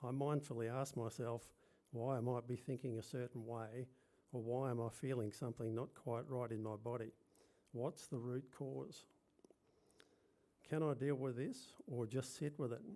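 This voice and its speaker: A man with an Australian accent speaks at a moderate pace in a medium-pitched, dark and mellow voice, keeping his intonation fairly even and leaving long, frequent pauses. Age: 70s. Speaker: speaker at a commemoration event; birth father and yoga teacher. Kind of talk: prepared personal testimony speech. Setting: function venue with live audience.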